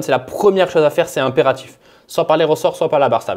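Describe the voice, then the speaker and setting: A man's animated, fairly high-pitched voice with ordinary pitch variation. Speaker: car tuning youtuber. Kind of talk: tutorial. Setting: away from home, with whiteboard marker. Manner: fast.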